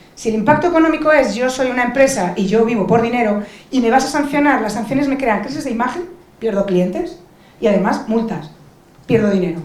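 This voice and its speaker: A woman's fairly high voice with a Spanish accent, animated and fairly quick, amid noticeable background noise and audible room echo. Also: lively intonation. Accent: Peninsular Spanish. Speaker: lawyer and digital rights advocate on a panel. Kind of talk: panel discussion.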